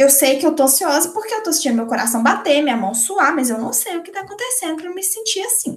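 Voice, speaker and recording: A woman speaks at an extremely high pitch with very wide pitch swings. Her pace is fairly quick. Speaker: psychologist. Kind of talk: casual chat.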